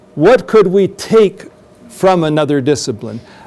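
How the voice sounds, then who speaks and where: Noticeable background noise runs behind a man speaking at a moderate pace. His voice is high, with very wide pitch swings. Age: 60s. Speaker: professor. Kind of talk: lecture Q&A. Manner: halting.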